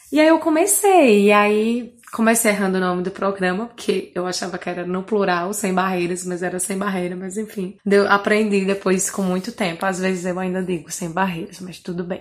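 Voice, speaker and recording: A woman speaks in a northeastern Brazilian accent at a moderate pace. She barely pauses, and her pitch varies in an ordinary way. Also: medium pitch for a woman. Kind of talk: recorded self-introduction. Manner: clear diction.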